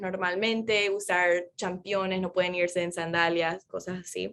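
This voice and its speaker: A woman with an American accent, medium-pitched, at a fairly slow pace with ordinary pitch variation. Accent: americanized Spanish, Spanglish. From Florida, US, Paraguayan parents. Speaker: neuroscientist. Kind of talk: interview conversation.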